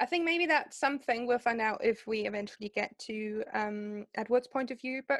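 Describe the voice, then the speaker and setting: At a moderate pace, a woman with a German accent speaks at a fairly high pitch, and the sound is dry and close with no echo. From Germany. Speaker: podcast co-host. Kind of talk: casual chat. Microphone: poor audio quality, before better microphones.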